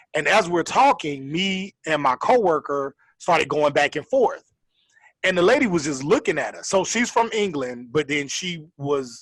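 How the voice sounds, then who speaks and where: A man with a Southern accent, fairly high pitched, with very wide pitch swings and a moderate pace, in a very clean recording against a silent background. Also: big swings in loudness. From Florida. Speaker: podcast co-host. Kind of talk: casual chat.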